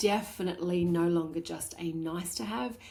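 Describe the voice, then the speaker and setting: A woman's somewhat breathy, dark, mellow voice at a fairly slow pace. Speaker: podcast host, balance coach for working women. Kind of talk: solo podcast monologue. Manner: animated, repetitive emphasis.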